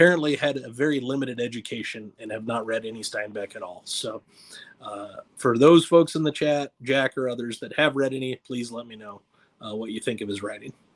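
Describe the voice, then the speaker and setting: This man has a medium pitch and speaks at a fairly quick pace. His loudness swings a lot while his pitch variation stays ordinary. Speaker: booktuber. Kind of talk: livestream chat. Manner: animated. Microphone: mic issues.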